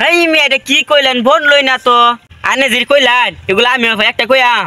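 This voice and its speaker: Raised, projected voice in a Mymensingh accent, fairly even intonation, dry, close sound with no echo and noticeable background noise. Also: man, extremely high pitch for a man, very even loudness. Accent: Sherpur char regional Bengali dialect. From Sherpur char area, Bangladesh. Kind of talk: colloquial, rural.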